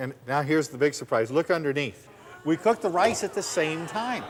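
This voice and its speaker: Amid noticeable background noise, a man with an American accent and a fairly high pitch speaks at a moderate pace in an enthusiastic tone with lively intonation. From US Southwest. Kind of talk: infomercial demonstration. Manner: enthusiastic, folksy.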